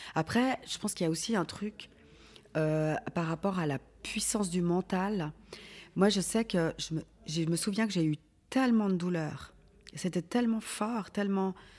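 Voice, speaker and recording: A woman speaks at a fairly slow pace with a medium pitch, ordinary pitch variation, and long, frequent pauses. The recording is very clean, with a silent background. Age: 40s. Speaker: organ transplant recipient. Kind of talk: testimony. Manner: halting.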